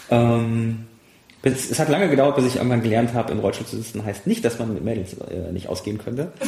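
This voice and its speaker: He speaks at a fairly quick pace with medium pitch. His pitch variation is ordinary for a man. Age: 30s. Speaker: pilot and former paralympic sailor. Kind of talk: casual interview. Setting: half-emptied apartment.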